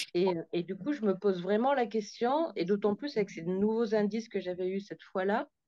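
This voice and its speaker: Her voice sits at a medium pitch with a dark, mellow tone, and this woman uses ordinary pitch variation. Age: 40s. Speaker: group session participant. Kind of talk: testimony. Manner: fast; halting.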